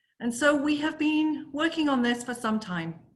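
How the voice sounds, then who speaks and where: Audible room echo surrounds a woman whose bright, sharp tone carries lively intonation. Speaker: corporate accessibility lead, conference speaker. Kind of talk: conference presentation. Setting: virtual forum presentation.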